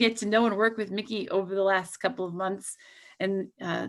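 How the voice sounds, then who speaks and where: In a plain, everyday voice, a woman talks at a moderate pace with fairly even intonation. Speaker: pharmaceutical company representative. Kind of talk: presentation. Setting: video call.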